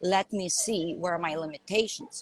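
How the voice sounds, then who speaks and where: Lively intonation from a woman with a Lithuanian accent, in a dry, close sound with no echo. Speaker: life coach. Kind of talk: live stream conversation. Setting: live video call. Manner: animated.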